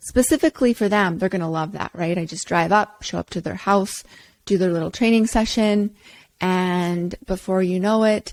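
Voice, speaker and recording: A woman with a normal speaking voice talks at medium pitch and a moderate pace, with ordinary pitch variation and a dry, close sound with no echo. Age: 40s. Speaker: personal trainer and podcast host. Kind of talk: casual podcast monologue.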